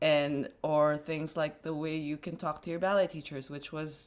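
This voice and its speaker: A woman with a very deep, low pitch and an American accent. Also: very clean recording, silent background. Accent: Filipino accent, can switch to American. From Philippines. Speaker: dancer and dance company co-director. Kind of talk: interview conversation.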